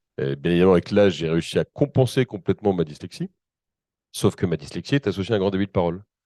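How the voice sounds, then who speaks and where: A man talks at a very fast pace in a very deep, low pitch, with a dark, mellow tone and ordinary pitch variation. The sound is dry and close with no echo, over a quiet background. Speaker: company representative presenting accessibility solutions. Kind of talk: panel presentation.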